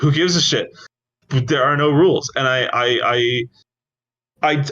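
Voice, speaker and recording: A man speaks, his pitch shifting only as much as ordinary speech does. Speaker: podcast co-host, writer. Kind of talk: casual chat. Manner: fast; animated.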